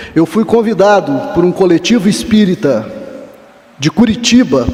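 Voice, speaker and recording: Very wide swings in pitch over noticeable background noise. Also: man. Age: 60s. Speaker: professor. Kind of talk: lecture.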